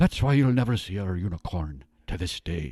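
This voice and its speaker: A man puts on a character voice in an Irish accent, speaking at a moderate pace with a very deep, low pitch. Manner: lilting, playful.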